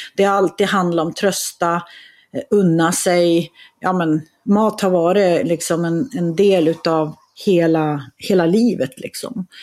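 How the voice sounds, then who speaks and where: In a very clean recording with a silent background, a woman with a fairly low pitch talks at a very slow pace with ordinary pitch variation. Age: 50s. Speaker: author and entrepreneur. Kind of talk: casual chat.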